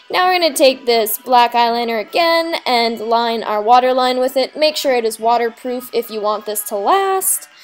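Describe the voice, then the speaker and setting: Over music in the background, a woman talks at a moderate pace in a high voice. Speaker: makeup tutorial host. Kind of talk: casual tutorial voice-over.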